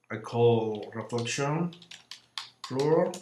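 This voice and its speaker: Here a man talks at a very slow pace. He has a non-native accent. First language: not English. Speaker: software tutorial creator. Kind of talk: tutorial. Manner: halting, with frequent fillers.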